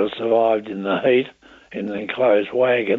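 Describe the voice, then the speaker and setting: A man in an Australian accent speaks at medium pitch and a moderate pace, his intonation monotone and flat. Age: 80s+. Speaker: war veteran. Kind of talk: interview answer. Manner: hesitant, halting.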